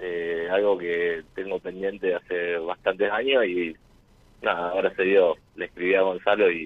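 Monotone, flat intonation runs through speech that moves at a fairly slow pace. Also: man, very deep, low pitch for a man. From Rosario, Argentina. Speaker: caller. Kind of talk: casual chat with radio host. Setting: phone call to radio show.

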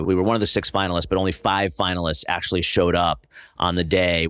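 A man's very deep, low voice with an American accent at a very fast pace, on a very clean recording with a silent background. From US Northeast, New Jersey. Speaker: startup founder and venture investor. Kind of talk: casual interview.

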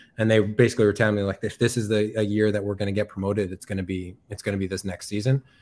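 A man with an American accent and fairly low pitch rattles along at a very fast pace in a monotone, flat way, on a very clean recording with a silent background. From Massachusetts, US (Chicopee, New England). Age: 20s. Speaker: professional football player. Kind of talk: interview. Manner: halting, many fillers.

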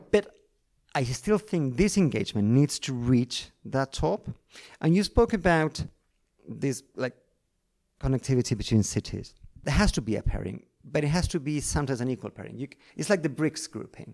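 With a Spanish accent, a man speaks at a moderate pace in a fairly high pitch, his lively intonation broken by long, frequent pauses. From Argentina, Buenos Aires. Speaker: foreign correspondent journalist. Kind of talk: interview conversation. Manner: halting, many repetitions.

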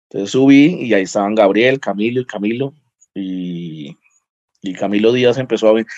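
A normal speaking voice moves at a moderate pace with ordinary pitch variation over a quiet background. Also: man, fairly low pitch for a man. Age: 30s. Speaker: lawyer and stand-up comedian. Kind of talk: casual interview chat.

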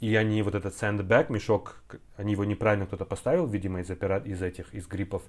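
The man talks very fast in a fairly low pitch, keeping his intonation fairly even. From Kazakhstan, Semey. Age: 30s. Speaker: translator and actor. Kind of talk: casual chat.

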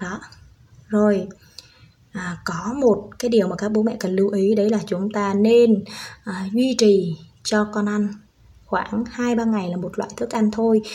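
At a medium pitch, a woman talks at a fairly slow pace with monotone, flat intonation. Long, frequent pauses break up her speech. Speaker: parenting podcaster, stay-at-home mother, former preschool teacher. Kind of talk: tutorial.

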